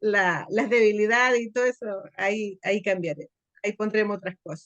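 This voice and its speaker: In a normal speaking voice, a woman at medium pitch keeps fairly even intonation at a moderate pace, the sound dry and close with no echo. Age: 60s. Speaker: church training participant, retired teacher. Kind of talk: reading aloud own homework, then casual remarks. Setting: church classroom.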